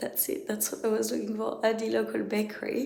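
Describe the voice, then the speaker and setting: With noticeable noise in the background and audible echo from the room, a woman talks. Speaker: travel vlogger. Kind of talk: casual vlog talk to camera.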